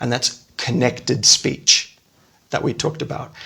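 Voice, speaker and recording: A man speaks with an Australian accent at a moderate pace. His voice carries vocal fry. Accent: Australian, non-rhotic. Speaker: podcast host, language teacher. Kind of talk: educational podcast chat. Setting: podcast recording.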